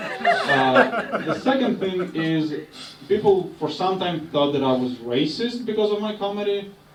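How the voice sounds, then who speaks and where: A man speaks with lively intonation. There is noticeable background noise and audible room echo. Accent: Russian. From Russia. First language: Russian. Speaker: stand-up comedian. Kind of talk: stand-up. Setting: stage with audience.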